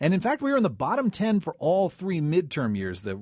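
Against a quiet background, a man talks at a fairly quick pace. His pitch swings very wide. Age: 30s. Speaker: radio host. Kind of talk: radio interview.

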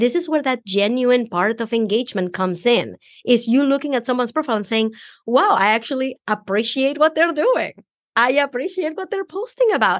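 Very wide pitch swings mark this fairly quick delivery in a Venezuelan accent. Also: woman, high pitch for a woman. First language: Spanish. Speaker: business coach. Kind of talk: podcast interview.

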